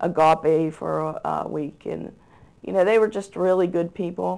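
A woman with a fairly low pitch talks at a moderate pace. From Pittsburgh, Pennsylvania. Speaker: church volunteer youth leader. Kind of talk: interview. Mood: earnest, somber at times. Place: studio. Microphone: lapel.

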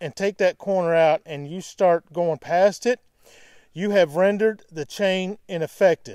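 This man has a high-pitched voice. His tone is clear and smooth, slightly mellow.

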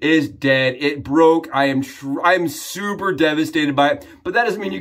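A man talks with ordinary pitch variation. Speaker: shaving product reviewer. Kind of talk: casual vlog chat. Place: home room.

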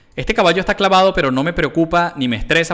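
The tone is bright and sharp, with very wide pitch swings. The pace is very fast over a quiet background. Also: man. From Venezuela. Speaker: chess grandmaster streamer. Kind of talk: chess commentary while playing live. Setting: live stream with chat. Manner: animated. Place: home room. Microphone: headset.

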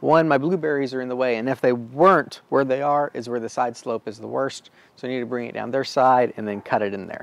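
A man speaks at a very fast pace with fairly even intonation, in a dry sound with no echo. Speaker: DIY video host. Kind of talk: tutorial. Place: garden.

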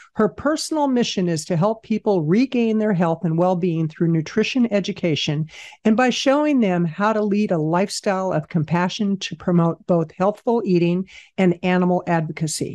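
In a quiet background, a woman speaks with a dark, mellow tone at a medium pitch. Her intonation is lively and her pace moderate. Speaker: podcast host. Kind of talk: podcast introduction.

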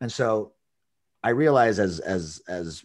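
A man talks with lively intonation at a fairly low pitch. The background is quiet. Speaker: podcast host, dog trainer. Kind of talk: casual interview chat. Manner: halting, many repetitions. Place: home room. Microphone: video call.

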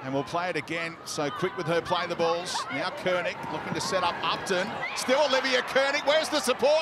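With noticeable background noise behind him, a man with a high pitch speaks at a fairly quick pace, with hardly any pauses and very wide pitch swings. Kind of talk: live sports commentary. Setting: stadium commentary.

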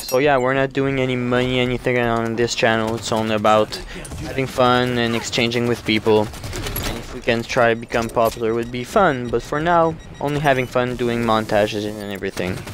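A man with a French Canadian accent, medium in pitch, fairly quick and fairly even in intonation, over noticeable background noise. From Quebec, Canada. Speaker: gaming YouTuber. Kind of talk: gameplay commentary with intro. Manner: hesitant, self-correcting.

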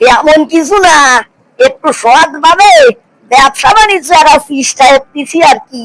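A high-pitched, cartoonish character voice speaks at a moderate pace. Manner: folksy, wry.

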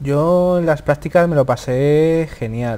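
Very slowly, a man speaks in a dark, mellow tone. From Spain. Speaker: student; interviewee. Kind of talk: interview. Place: studio. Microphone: lapel.

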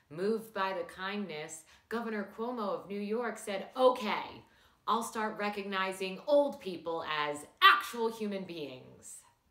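A woman speaks at a fairly slow pace in a quiet background. Room echo is audible. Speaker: comedy news host. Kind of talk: satirical news monologue. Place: home room.

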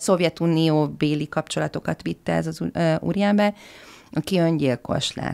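Her voice sits fairly low. Nothing can be heard behind her. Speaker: historian of fashion; podcast guest. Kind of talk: interview discussion. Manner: halting, hesitant. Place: studio. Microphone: studio mic.

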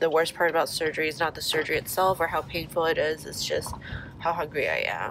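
A woman talks very fast in a nasal, monotone voice of fairly low pitch. Noticeable background noise is present, and the sound is dry with no echo. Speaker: vlogger after nose surgery. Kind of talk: casual vlog chat. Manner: congested, nasal voice after nose surgery. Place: car. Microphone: phone near.

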